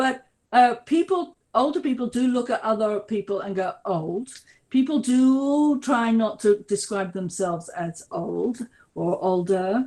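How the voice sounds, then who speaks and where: A woman with a British accent talks at a fairly slow pace, her fairly high voice carrying lively intonation. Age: 60s. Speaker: researcher on ageing. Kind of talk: webinar Q&A answers. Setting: online webinar.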